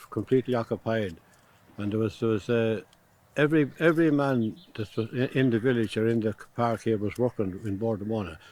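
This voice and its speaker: At a fairly quick pace, a man with an Irish Midlands accent speaks at medium pitch with ordinary pitch variation. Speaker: retired fitter. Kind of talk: interview. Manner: halting.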